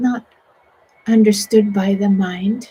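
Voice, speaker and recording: A woman's very slow, medium-pitched voice, somewhat breathy and dark, mellow in tone, with monotone, flat intonation. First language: Swedish. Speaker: meditation teacher. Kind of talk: guided meditation. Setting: online broadcast.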